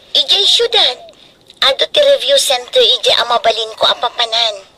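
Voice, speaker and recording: A female-sounding voice doing a put-on character voice at a moderate pace. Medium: audio drama.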